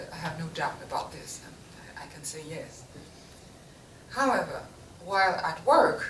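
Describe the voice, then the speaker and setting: Amid noticeable background noise and audible room echo, a woman with fairly low pitch and lively intonation speaks at a moderate pace, her loudness swinging widely and her pauses long and frequent. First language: not English. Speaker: printmaker. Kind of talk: artist talk to an audience. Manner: halting, with self-corrections.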